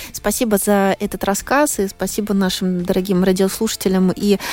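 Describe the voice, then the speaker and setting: Speaking at a moderate pace, a woman has an unremarkable speaking voice at a medium pitch. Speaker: radio host. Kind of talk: live radio show hosting. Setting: studio.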